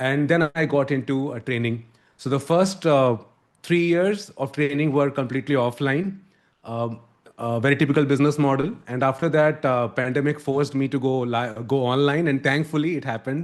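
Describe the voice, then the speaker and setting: Over a quiet background, a man speaks with a fairly high pitch. His pace is moderate and his pitch variation ordinary. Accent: Indian. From India. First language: Hindi. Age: 40s. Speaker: communication coach. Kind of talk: podcast interview.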